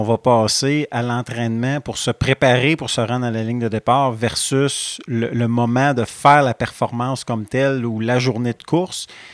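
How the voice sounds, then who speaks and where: A man talks at a moderate pace in a normal speaking voice, medium in pitch with fairly even intonation. The recording is very clean with a silent background and a dry, close sound with no echo. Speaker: podcast host, outdoor columnist. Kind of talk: podcast conversation. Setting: outdoor studio.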